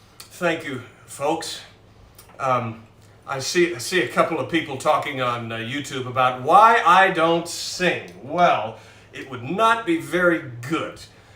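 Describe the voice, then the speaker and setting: An American accent comes through at a fairly slow pace with big swings in loudness, with audible room echo and noticeable background noise. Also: man, fairly high pitch for a man. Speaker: pianist. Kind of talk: casual chat. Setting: live stream from home. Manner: halting.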